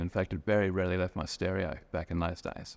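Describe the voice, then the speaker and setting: The speaker has an Australian accent and fairly even intonation. The background is quiet. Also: man. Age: 50s. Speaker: storyteller sharing a personal memory. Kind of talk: personal testimony. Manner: casual with hesitations.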